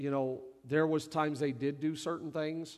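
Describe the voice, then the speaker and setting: Here is a man with an unremarkable speaking voice. His pitch is fairly high and his pace moderate. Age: 40s. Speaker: lead pastor. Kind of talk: church service panel interview. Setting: stage in church service.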